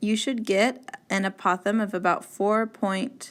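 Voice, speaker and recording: In a very clean recording with a silent background, a woman speaks at a medium pitch and a fairly slow pace. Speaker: math teacher. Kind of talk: tutorial.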